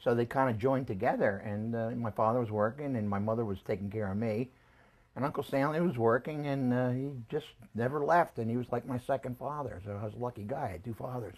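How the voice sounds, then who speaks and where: The speech comes at a very fast pace with ordinary pitch variation, in a very clean recording with a silent background. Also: man, medium pitch for a man. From Philadelphia, US. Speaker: family elder interviewed about his life. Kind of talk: life-history interview. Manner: halting.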